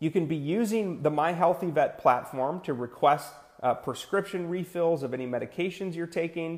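Energetic in tone, a man speaks at a high pitch and moderate pace with ordinary pitch variation on a very clean recording with a silent background. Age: 30s. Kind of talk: live-streamed Q&A advice show. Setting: live stream, answering viewer comments. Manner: casual, energetic, lots of fillers.

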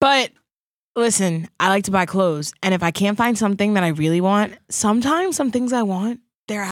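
A woman with an American accent has an unremarkable speaking voice at a medium pitch, lively intonation and very even loudness, on a very clean recording with a silent background. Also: fairly quick pace. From Long Island, New York. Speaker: podcast co-host. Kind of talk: casual chat.

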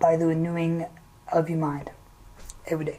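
A woman with a fairly low pitch talks while noticeable background noise fills the recording. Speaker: podcast guest. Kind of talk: casual chat. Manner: halting.

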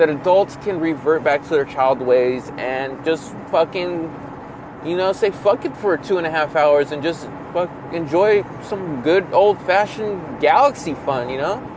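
A man talks fairly slowly with an American accent while noticeable noise fills the background. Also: fairly high pitch for a man, ordinary pitch variation. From California. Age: 20s. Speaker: podcast host. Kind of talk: casual solo rambling podcast. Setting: in a car on commute. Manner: rambling, casual, crude humor.

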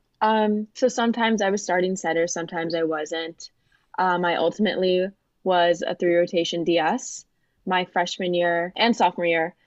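Against a quiet background, a woman with an American accent speaks at a fairly low pitch and a moderate pace, with fairly even intonation. It's a normal speaking voice, and the sound is dry and close with no echo. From Florida, US (Fort Lauderdale). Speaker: college volleyball player and student. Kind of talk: interview.

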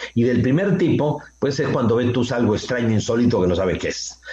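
A man with a normal speaking voice has lively intonation, a medium pitch and a moderate pace. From Peru. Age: 60s. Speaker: author and contactee lecturer. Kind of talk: radio interview.

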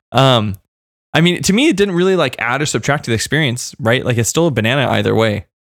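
A very fast-talking man with vocal fry and lively intonation, very even in loudness, on a very clean recording with a silent background. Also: medium pitch for a man. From Kentucky. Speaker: podcast co-host. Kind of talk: casual chat.

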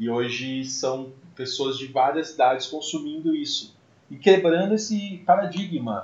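In a plain, everyday voice, a man speaks at a fairly slow pace and a fairly high pitch, with lively intonation and big swings in loudness. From Brazil, Mococa (São Paulo state). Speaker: podcast host, musician. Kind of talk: casual chat.

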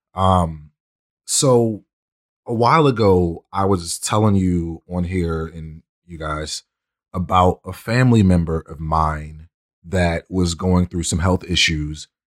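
Someone with an American accent speaks at a very slow pace with ordinary pitch variation and big swings in loudness, in a dry, close sound with no echo. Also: man, very deep, low pitch for a man, very clean recording, silent background. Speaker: podcast host. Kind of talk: casual chat.

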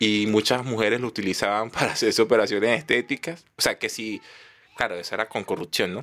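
A man with a Venezuelan accent at a medium pitch, with ordinary pitch variation and a fairly quick pace. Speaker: comedian. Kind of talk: casual chat.

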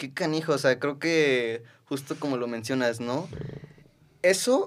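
The voice belongs to a man. Its pitch rises and falls in an ordinary way. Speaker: podcast host. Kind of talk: casual interview. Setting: in person studio. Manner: fast.

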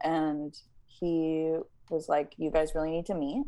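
A woman speaks at a moderate pace in an unremarkable speaking voice, pitched fairly low. The background is quiet. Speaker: singer-songwriter. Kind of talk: casual interview. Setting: video call.

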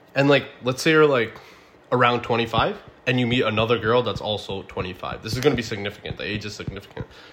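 A man talks at a very fast pace with ordinary pitch variation. Background noise is noticeable. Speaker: podcast host. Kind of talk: casual chat.

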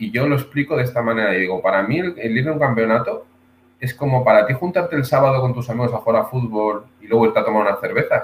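Speaking at a very fast pace, a man uses a somewhat breathy, medium-pitched voice. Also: ordinary pitch variation. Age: 30s. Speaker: martial arts instructor. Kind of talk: casual interview.

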